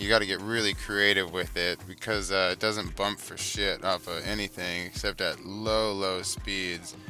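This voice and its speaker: A man's very deep, low voice at a moderate pace, monotone and flat, with music in the background. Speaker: video game player. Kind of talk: casual gameplay commentary. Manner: casual, laid-back, hesitant.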